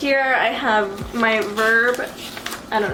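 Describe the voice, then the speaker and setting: Amid noticeable background noise and audible room echo, a woman speaks in a flat monotone at a fairly high pitch. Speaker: vlogger. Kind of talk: casual vlog talk. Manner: casual, chatty.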